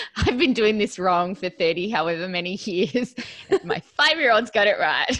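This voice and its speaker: A plain, everyday voice from a woman at medium pitch, with lively intonation and a moderate pace. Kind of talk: casual interview chat. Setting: video call.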